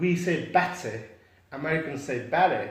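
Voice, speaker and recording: A man with a high-pitched voice and a British accent. His pitch varies in an ordinary way, and the room echo is audible. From Afghanistan, raised from age 10 in England (Stoke-on-Trent area). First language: Pashto or Dari. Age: 20s. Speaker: graduate, institution founder. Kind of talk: interview.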